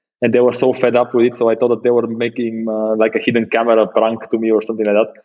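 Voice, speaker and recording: A man talks with a Bulgarian accent. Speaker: space startup founder and CEO. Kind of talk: interview. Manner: halting.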